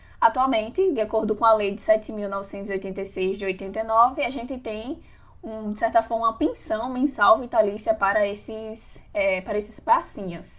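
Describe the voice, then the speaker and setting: A woman with an ordinary speaking voice and fairly high pitch talks at a moderate pace with hardly any pauses, ordinary pitch variation and big swings in loudness. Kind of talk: podcast discussion.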